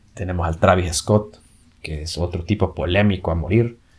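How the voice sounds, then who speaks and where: Somewhat breathy, a man with a very deep, low pitch speaks at a fairly slow pace with ordinary pitch variation. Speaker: podcast host. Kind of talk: casual monologue. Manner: animated; halting, frequent filler and repetitions.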